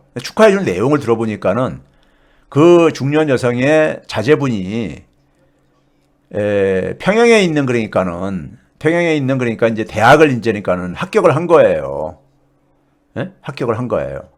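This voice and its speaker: Pauses are long and frequent as a man speaks with very wide pitch swings. The recording is very clean, with a silent background. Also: medium pitch for a man, moderate pace. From South Korea. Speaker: economics professor. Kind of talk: casual storytelling talk. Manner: halting, many fillers.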